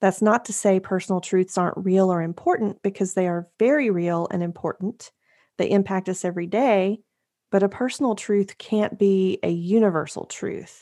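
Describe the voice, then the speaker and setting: Over a silent background in a very clean recording, a woman speaks at a medium pitch and moderate pace, her tone dark and mellow and her intonation fairly even. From Tennessee, Appalachia. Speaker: podcast host and writer. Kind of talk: interview.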